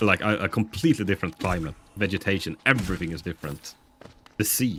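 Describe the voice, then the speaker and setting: The speaker is a man with a very deep, low pitch. He talks at a very fast pace. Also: ordinary pitch variation. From northern Sweden. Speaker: video game streamer. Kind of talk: casual live-stream chat while gaming. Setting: live stream. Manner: chatty, with many hesitations.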